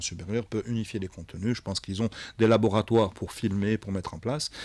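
The sound is dry with no echo and the background quiet as a man with fairly low pitch speaks in fairly even intonation. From Algeria. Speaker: tech company executive; radio guest. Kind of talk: radio interview. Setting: live radio studio. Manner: hesitant, many fillers. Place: studio. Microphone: studio mic.

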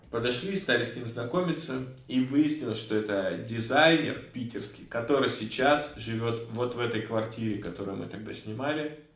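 With ordinary pitch variation, a man talks at a moderate pace as audible room echo fills the space. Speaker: streamer. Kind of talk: casual stream commentary, storytelling. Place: home room.

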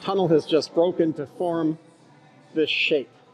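There is faint music in the background. Over it, a man talks. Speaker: geology professor. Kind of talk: educational tour commentary. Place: tunnel cave. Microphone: phone near.

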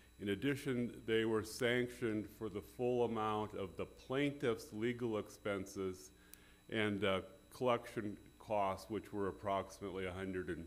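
With ordinary pitch variation, a man talks at a fairly slow pace and a fairly low pitch. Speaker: attorney arguing before court. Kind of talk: legal oral argument. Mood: formal, measured. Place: hall.

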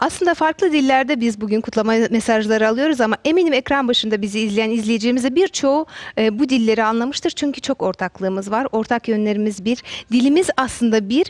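A woman speaks very fast at a fairly high pitch with lively intonation and very even loudness over a quiet background. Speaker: TV presenter. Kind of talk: morning show hosting. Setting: studio. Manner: upbeat. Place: studio. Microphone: headset.

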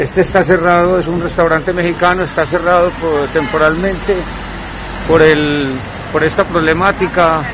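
A man's high-pitched, monotone voice with flat intonation over noticeable background noise. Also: moderate pace. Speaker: supermarket worker abroad, guest. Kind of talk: recorded testimony and street interview. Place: street. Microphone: phone near.

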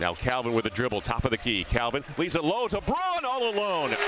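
Loud background noise runs under the voice. The sound is dry, with no echo. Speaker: basketball play-by-play announcer. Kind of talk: live sports commentary, play-by-play call of a basketball game. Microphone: headset.

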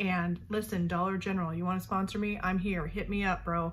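A woman's fairly low voice with vocal fry and monotone, flat intonation, at a fairly quick pace over light background noise. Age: 40s. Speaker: beauty vlogger. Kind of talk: casual tutorial. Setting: bedroom at night. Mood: relaxed, casual. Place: home room. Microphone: earbuds.

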